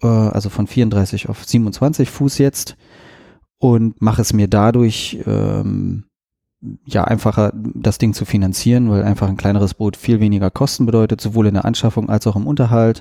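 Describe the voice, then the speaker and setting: A man's fairly low, dark, mellow voice at a moderate pace with fairly even intonation, in a very clean recording with a silent background. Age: 40s. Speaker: podcast host and sailboat salesman. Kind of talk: casual interview conversation.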